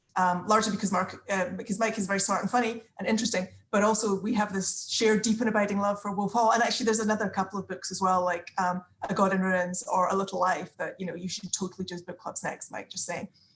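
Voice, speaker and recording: With noticeable background noise behind her, a woman of medium pitch speaks very fast in a monotone, flat intonation with hardly any pauses. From Scotland. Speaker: book club participant, former parliamentary adviser. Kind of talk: casual group video chat introduction. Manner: hesitant, many fillers and repetitions.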